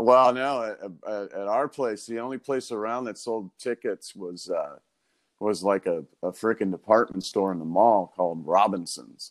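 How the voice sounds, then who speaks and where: A man with an American accent and a normal speaking voice speaks at a fairly slow pace and fairly low pitch, with ordinary pitch variation, in a very clean, dry, close recording with no echo and a silent background. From Chicago and Orange County, California. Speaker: guitarist. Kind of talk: casual chat.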